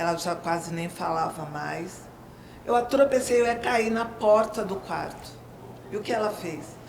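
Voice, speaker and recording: There is noticeable background noise as a woman at a medium pitch talks at a fairly slow pace with lively intonation. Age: 60s. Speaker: retired teacher and writer. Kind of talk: personal testimony.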